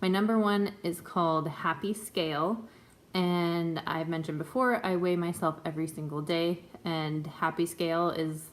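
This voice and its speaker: A woman with a plain, everyday voice talks at a fairly low pitch with fairly even intonation. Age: 20s. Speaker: vlogger sharing weight loss surgery journey. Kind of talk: casual vlog update. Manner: casual with many filler ums.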